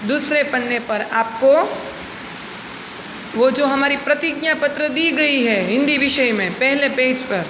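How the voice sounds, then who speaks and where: Over noticeable background noise and audible room echo, a woman with a Gujarati accent speaks in a high pitch with ordinary pitch variation. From Gujarat, India. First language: Gujarati (speaking Hindi). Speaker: school teacher. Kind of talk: lesson for schoolchildren. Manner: slow, explanatory.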